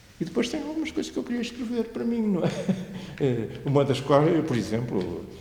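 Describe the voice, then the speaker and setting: A man speaks fairly quickly in a high pitch, his voice swinging very widely up and down. Noticeable background noise and audible room echo are in the recording. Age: 70s. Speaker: retired librarian and local historian. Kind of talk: interview. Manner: halting.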